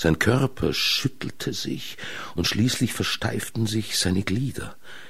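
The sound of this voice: With ordinary pitch variation, the text is read in an unforced voice.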